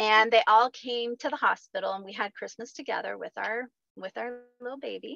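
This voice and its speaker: In an American accent, a woman with a high, bright and sharp voice talks at a moderate pace with big swings in loudness, the sound dry and close with no echo. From rural Missouri, US Midwest. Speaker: holistic health practitioner and life coach. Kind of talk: casual interview.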